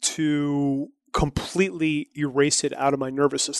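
A man with a fairly high pitch talks at a fairly slow pace in a monotone, flat intonation, the sound dry and close with no echo over a quiet background. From New Brunswick, Canada. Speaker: entrepreneur and marketer. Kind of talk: interview.

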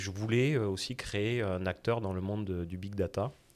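The recording is very clean, with a silent background. A man talks fairly slowly at a fairly low pitch with ordinary pitch variation. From southwest France. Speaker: insurtech startup founder. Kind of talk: interview.

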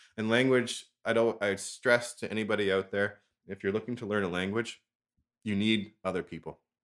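A man with a Canadian accent and an unremarkable speaking voice, fairly low in pitch, with fairly even intonation and a fairly quick pace, on a very clean recording with a silent background. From Ontario, Canada. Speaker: language exchange co-host and gamer. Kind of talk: casual chat, interview.

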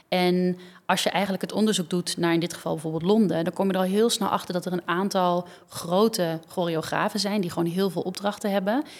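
A woman talks in an unremarkable speaking voice at a medium pitch. Her intonation is fairly even. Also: fairly quick pace. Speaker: dancer and choreographer. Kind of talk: casual interview.

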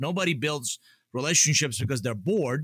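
Lively intonation and a bright, sharp tone mark this man's voice, heard in a dry, close sound with no echo. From Atlanta, US South (immigrated from Iran as a child). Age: 50s. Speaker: author and business consultant. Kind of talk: interview conversation.

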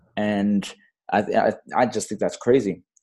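A man talks in a very clean recording where the background is silent. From Fiji-born, raised in Australia and Bangladesh. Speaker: community startup director. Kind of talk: interview conversation.

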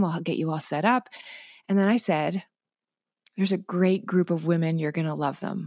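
A woman speaks at a very fast pace with fairly low pitch. Her tone is dark and mellow, with ordinary pitch variation. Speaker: mindset coach. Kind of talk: casual interview chat. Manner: laid back.

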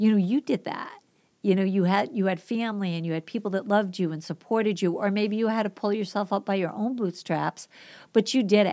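In a very clean recording with a silent background, a woman with a Boston accent speaks at a fairly quick pace and a medium pitch. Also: ordinary pitch variation. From Boston, US Northeast. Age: 50s. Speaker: teacher and substitute, podcast guest. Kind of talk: casual interview conversation.

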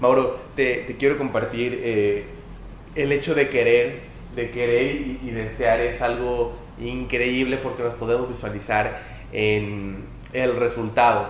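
Speaking at a very slow pace, a man with a medium pitch keeps a monotone, flat intonation amid noticeable background noise and audible room echo. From Mexico, Puebla. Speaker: podcast host, volleyball player. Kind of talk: casual interview. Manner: halting, repeats words.

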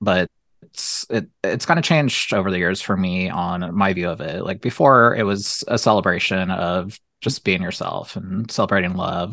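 This voice has a bright, sharp tone and ordinary pitch variation, delivered in an American accent. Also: man, very deep, low pitch for a man, moderate pace. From Ohio, US Midwest. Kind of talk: casual chat. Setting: video call.

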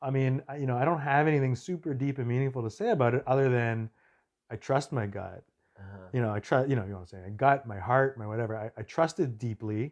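Talking at a very fast pace in a Montreal accent, the speaker uses ordinary pitch variation over a quiet background. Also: man, medium pitch for a man. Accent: English-speaking Canadian (Montreal). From Montreal, Quebec. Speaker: documentary filmmaker. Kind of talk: casual interview.

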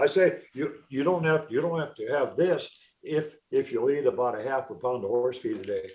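This man has an ordinary speaking voice and an American accent, with a fairly high pitch. He talks at a moderate pace with lively intonation. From North Dakota, US. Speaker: feed company founder, nutrition scientist. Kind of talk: casual interview chat. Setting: radio or podcast interview. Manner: folksy, laughing, storytelling.

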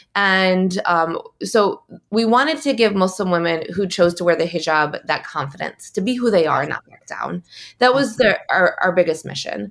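A woman with an American accent and a normal speaking voice, at a moderate pace, with big swings in loudness. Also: medium pitch for a woman, lively intonation. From Michigan, US Midwest. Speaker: fashion entrepreneur and activist. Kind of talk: interview, personal testimony.

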